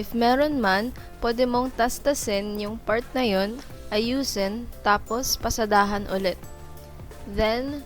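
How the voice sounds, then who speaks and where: A woman's fairly high voice at a fairly slow pace, fairly even in intonation, with music in the background. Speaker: dressmaking student. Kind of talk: sewing tutorial narration.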